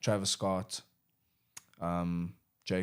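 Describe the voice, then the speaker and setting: Here a man is speaking. His intonation is monotone and flat. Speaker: rapper and music producer. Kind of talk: casual chat.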